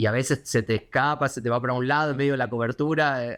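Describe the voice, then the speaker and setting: A man speaks very fast at a fairly high pitch, with ordinary pitch variation. The sound is dry and close with no echo, over a quiet background. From Argentina, Buenos Aires. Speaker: foreign correspondent. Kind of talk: interview. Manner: hesitant, many fillers.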